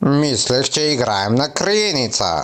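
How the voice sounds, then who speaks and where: A man puts on a cartoonish character voice at a medium pitch, with very wide pitch swings. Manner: friendly, lecturing.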